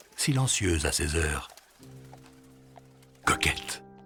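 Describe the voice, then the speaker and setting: A man speaks at a very slow pace with music in the background. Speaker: voice-over narrator. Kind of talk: film voice-over reading a writer's own text.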